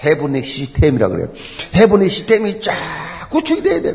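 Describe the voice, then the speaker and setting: Animated in tone, a man talks in a high pitch over noticeable background noise. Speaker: preacher. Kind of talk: sermon. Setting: church. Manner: animated, emphatic preaching with repetition; rhetorical questions and exclamations.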